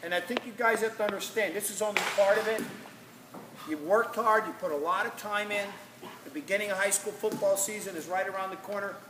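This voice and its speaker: A man's raised, projected voice, high in pitch and very fast, with audible room echo and noticeable background noise. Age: 60s. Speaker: football coach. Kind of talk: motivational speech to players. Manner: animated.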